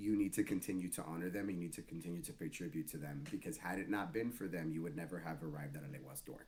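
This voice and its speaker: In an American accent, a man talks at a very fast pace, his very deep, low pitch moving with lively intonation. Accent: slight Spanish twang, noticed by others. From Miami, Florida, US. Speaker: Santeria practitioner. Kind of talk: casual interview conversation.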